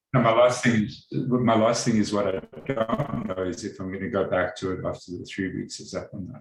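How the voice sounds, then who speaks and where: A man speaks at a fairly quick pace and medium pitch, somewhat breathy, with ordinary pitch variation. His loudness swings widely. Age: 60s. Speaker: meditation course participant. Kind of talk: group sharing. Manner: halting.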